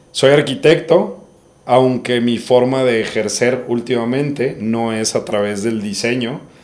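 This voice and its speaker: A man with an ordinary speaking voice talks at a fairly slow pace, his medium pitch showing ordinary pitch variation. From Monterrey, northern Mexico. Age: 30s. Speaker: entrepreneur, winery co-founder, architect. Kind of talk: casual podcast interview.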